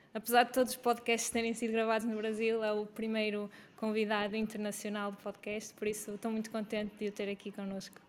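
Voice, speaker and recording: With hardly any pauses, a woman talks at a fairly quick pace and fairly high pitch in a flat monotone. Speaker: podcast host, health coach. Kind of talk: scripted introduction; interview.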